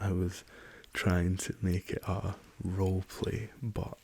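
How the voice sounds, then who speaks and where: A soft-spoken man talks in a Scottish accent with a very deep, low pitch. His tone is dark and mellow, and somewhat breathy. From Scotland. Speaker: rapper. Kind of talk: ASMR soft-spoken travel story.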